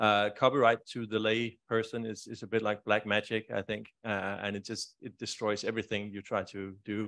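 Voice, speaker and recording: A man with a Danish accent, fairly low in pitch, monotone and flat, at a moderate pace with hardly any pauses. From Denmark. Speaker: library e-lending negotiator; conference presenter. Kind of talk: conference presentation. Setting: stage with audience. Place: hall.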